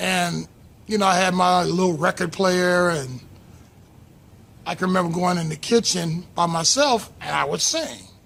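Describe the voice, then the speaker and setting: A man with a high-pitched voice talks at a moderate pace, using ordinary pitch variation and long, frequent pauses. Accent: American. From Los Angeles area, US. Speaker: YouTuber, aspiring voiceover artist. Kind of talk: personal storytelling. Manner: conversational with fillers.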